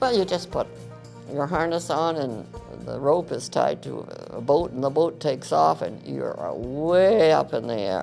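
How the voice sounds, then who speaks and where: Music in the background behind a woman at a fairly slow pace. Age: 80s+. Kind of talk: interview answer.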